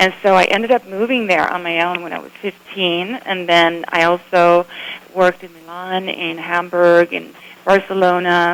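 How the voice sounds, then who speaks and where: Monotone, flat intonation with big swings in loudness over noticeable background noise. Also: woman, fairly low pitch for a woman, moderate pace. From Sweden. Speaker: photographer and former model. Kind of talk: radio interview.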